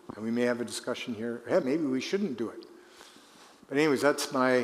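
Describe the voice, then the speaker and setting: In a Canadian accent, a man at medium pitch talks at a fairly quick pace with ordinary pitch variation, with audible room echo around him. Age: 70s. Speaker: retired politician. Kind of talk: conference Q&A.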